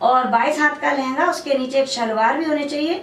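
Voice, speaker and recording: There is audible room echo and noticeable background noise, and the pitch rises and falls in an ordinary way. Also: woman. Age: 60s. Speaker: folk dancer and teacher. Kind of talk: interview.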